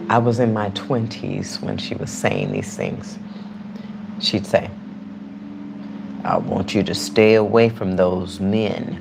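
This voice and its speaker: Speaking at a very slow pace, a woman leaves long, frequent pauses. Noticeable background noise and audible room echo fill the recording. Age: 60s. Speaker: YouTube live streamer. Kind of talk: casual livestream chat. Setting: live stream. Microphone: external mic on phone.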